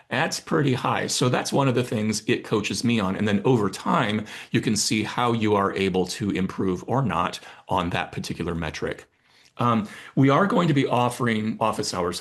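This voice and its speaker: A man with a plain, everyday voice talks at a medium pitch and moderate pace, with ordinary pitch variation and a quiet background. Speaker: corporate communication trainer. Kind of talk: webinar presentation. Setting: online webinar.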